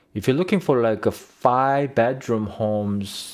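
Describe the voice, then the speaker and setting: A man talks with ordinary pitch variation, and the recording is very clean with a silent background. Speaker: realtor. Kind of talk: real estate market walkthrough. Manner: slow; hesitant, many fillers.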